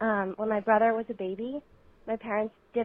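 Speaking fairly quickly, a woman with an unremarkable speaking voice uses a fairly high pitch and fairly even intonation. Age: 20s. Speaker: listener sending voicemail. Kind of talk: recorded voicemail.

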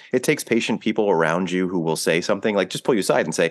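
A man rushes through his words at a very fast pace, with a quiet background behind him. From US, blue-collar neighborhood, Italian-American. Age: 40s. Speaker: film host at a theater. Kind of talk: casual interview. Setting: podcast studio. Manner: animated.

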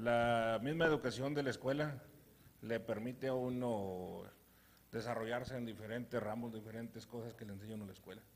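A man at medium pitch, moderate pace and big swings in loudness, with an unremarkable speaking voice. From Durango, Mexico. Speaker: horse owner.

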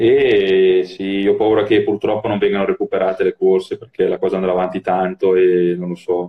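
Barely pausing, a man moves through his words rather quickly. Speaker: former pro cyclist and cycling coach. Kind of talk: casual chat. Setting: Instagram live video call. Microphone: phone with Bluetooth earphones.

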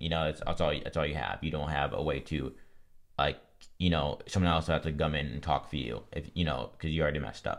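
A man speaks very fast in a very deep, low voice with vocal fry. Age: 20s. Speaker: mental health podcast guest, content creator. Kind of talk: casual chat. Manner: halting.

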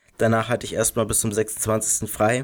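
A man speaks at a medium pitch and a fairly slow pace. The recording is very clean, with a silent background. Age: 20s. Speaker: youth church podcast co-host. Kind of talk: casual chat.

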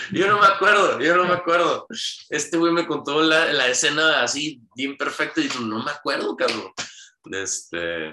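Bright and sharp in tone, a man with a fairly high pitch and vocal fry speaks at a moderate pace with lively intonation. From Hermosillo, Sonora, Mexico. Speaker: podcast guest telling life story. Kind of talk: casual interview.

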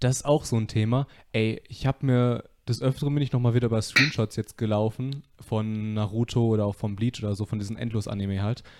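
On a very clean recording with a silent background, a man with a plain, everyday voice talks at a fairly quick pace, medium in pitch with fairly even intonation. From Westphalia, Germany (Soest). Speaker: podcast host. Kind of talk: casual chat. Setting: living room, live stream.

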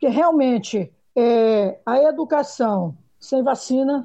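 A woman speaks in a high pitch with lively intonation. Her tone is dark and mellow. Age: 50s. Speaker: schoolteacher. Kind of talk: panel discussion.

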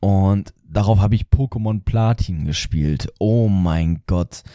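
Very slow, fairly low speech from a man, dark and mellow in tone, on a very clean recording with a silent background and a dry, close sound with no echo. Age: young. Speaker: gaming podcaster. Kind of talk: casual monologue. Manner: animated.

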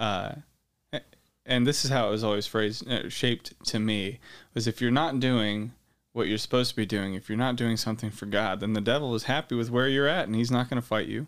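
In a very clean recording with a silent background, a man with an American accent speaks in an ordinary speaking voice at a fairly quick pace, his medium pitch carried by fairly even intonation. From Ukraine (American missionary kid), later Idaho. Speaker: state politician and Marine veteran. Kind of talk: interview testimony.

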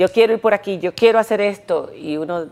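A woman speaks with an unremarkable speaking voice at a fairly slow pace. Her intonation is lively. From Dominican Republic. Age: 50s. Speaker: television presenter. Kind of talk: interview.

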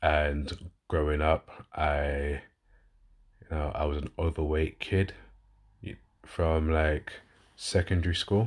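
A man speaks with a very deep, low pitch and a slight London accent, somewhat breathy. His intonation is fairly even, and the background is quiet. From London, England. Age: 30s. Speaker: podcast host and fitness coach. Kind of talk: solo podcast monologue, casual. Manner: casual, conversational, fillers.

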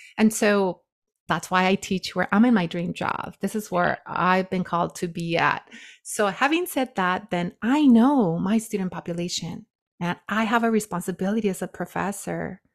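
A plain, everyday voice, with ordinary pitch variation and a moderate pace, is captured in a very clean recording against a silent background. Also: woman, medium pitch for a woman. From Watsonville, California, Mexican immigrant community. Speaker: sociology professor. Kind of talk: interview.

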